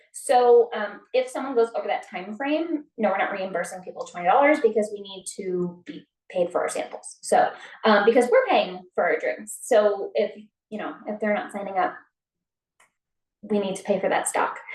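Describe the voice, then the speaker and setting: Fairly high-pitched, a woman speaks with lively intonation and big swings in loudness. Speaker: network marketing team member. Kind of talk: team meeting on video call. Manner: fast.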